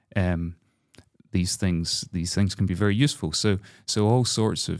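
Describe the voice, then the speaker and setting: A man speaks at a fairly slow pace in a very deep, low voice with a Scottish accent, on a very clean recording with a silent background. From Scotland, Glasgow. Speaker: composer. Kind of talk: interview conversation. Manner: halting.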